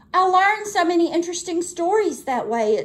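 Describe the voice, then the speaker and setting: A woman's put-on character voice, extremely high-pitched and at a fairly quick pace. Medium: read story. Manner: grumbling.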